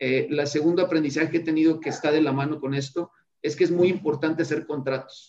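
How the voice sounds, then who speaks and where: A man talks very fast at a fairly high pitch. His intonation is monotone and flat. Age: 40s. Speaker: tech business owner. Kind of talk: interview.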